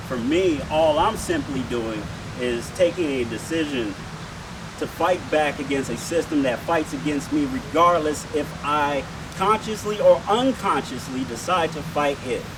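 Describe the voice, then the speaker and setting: With audible room echo and noticeable background noise, a man speaks at a fairly high pitch with lively intonation. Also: fairly slow pace. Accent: American. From Detroit, Michigan, US. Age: 30s. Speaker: activist rally speaker. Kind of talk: rally speech.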